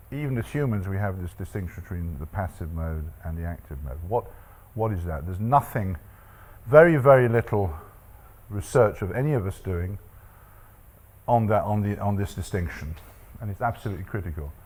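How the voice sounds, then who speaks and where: Somewhat breathy and fairly low in pitch, a man talks at a fairly quick pace broken by long, frequent pauses. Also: lively intonation. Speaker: statistics professor, panelist. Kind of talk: panel talk with slides. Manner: fast.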